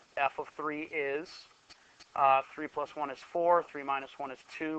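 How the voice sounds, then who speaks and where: The man speaks at a moderate pace in a fairly high pitch, his intonation fairly even. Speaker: math teacher. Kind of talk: classroom lecture.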